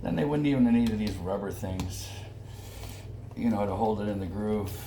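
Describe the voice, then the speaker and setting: There is noticeable background noise and audible room echo around a man. He talks at a fairly quick pace with ordinary pitch variation. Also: fairly low pitch for a man. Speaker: barber. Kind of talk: tutorial. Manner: soft-spoken; casual.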